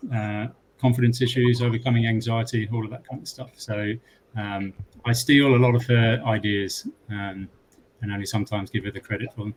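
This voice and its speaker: In a British accent, a man of medium pitch talks fairly quickly, somewhat breathy and monotone, his loudness swinging widely. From UK. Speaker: tech company customer lead. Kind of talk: panel discussion.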